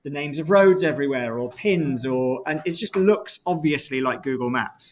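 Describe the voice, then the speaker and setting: A plain, everyday voice from a man at a moderate pace, with ordinary pitch variation against a quiet background. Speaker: university lecturer. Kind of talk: lecture.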